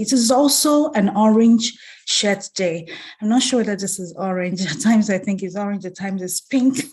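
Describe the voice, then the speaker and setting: A somewhat breathy woman speaks at a moderate pace with lively intonation. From Nigeria. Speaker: banker and community leader. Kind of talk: keynote speech.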